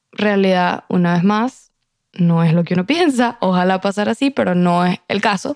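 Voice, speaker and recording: In a normal speaking voice, a woman of medium pitch talks at a moderate pace with ordinary pitch variation, recorded in a dry, close sound with no echo. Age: 20s. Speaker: podcast guest. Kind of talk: casual chat.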